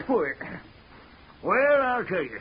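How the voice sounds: A man puts on a character voice pitched high, with a husky, rough edge. His delivery is slow, with big pitch swings.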